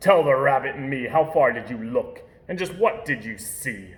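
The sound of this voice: Growling in a put-on character voice, a man speaks fairly high in pitch at a moderate pace.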